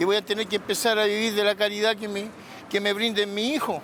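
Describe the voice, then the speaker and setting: A man talks at a high pitch and a fairly quick pace. Noticeable background noise can be heard. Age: 60s. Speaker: protester. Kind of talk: testimony.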